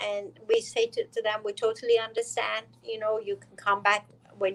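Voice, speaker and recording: A woman with an Iranian accent, fairly high-pitched and flat in intonation, at a fairly quick pace with big swings in loudness. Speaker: dentist. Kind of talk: interview.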